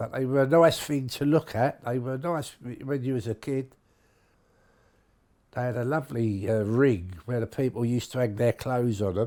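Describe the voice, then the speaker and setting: Recorded very cleanly over a silent background, a man talks at a moderate pace in a dark, mellow tone, his medium pitch showing ordinary variation. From London, Somers Town. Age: 70s. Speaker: longtime local resident. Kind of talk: interview testimony. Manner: halting, with hesitations.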